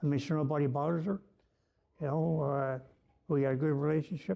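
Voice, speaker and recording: Talking at a fairly quick pace in a Newfoundland accent, a man with a fairly high pitch and a dark, mellow tone shows ordinary pitch variation. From Newfoundland, Canada. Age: 60s. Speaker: former prisoner sharing recovery story. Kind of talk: personal testimony. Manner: casual, halting with fillers.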